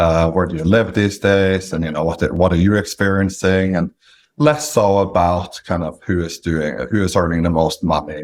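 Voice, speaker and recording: A man's very deep, low voice is heard on a very clean recording, the background silent. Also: ordinary pitch variation, moderate pace. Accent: Norwegian. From Norway. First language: Norwegian. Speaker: independent sponsor, business acquirer. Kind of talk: interview.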